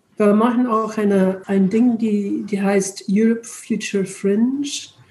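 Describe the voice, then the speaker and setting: With an English accent, a woman of medium pitch speaks at a fairly slow pace. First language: English (speaking German). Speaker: retired charity director, European volunteering advocate. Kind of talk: interview. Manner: halting, hesitant.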